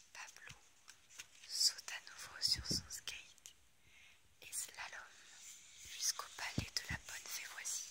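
A woman whispers very slowly, her loudness swinging widely, with long pauses coming often. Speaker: ASMR creator. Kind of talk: storybook reading. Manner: whispered, soft-spoken. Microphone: phone near.

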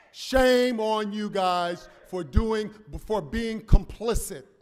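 Over audible room echo, a man talks at a very slow pace with ordinary pitch variation. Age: 70s. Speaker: public commenter, community activist. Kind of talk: public comment speech. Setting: city council chamber.

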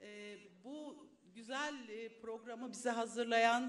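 A woman talks in a fairly high pitch with fairly even intonation. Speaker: retired civil servant. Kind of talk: speech at public meeting. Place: hall. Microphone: podium.

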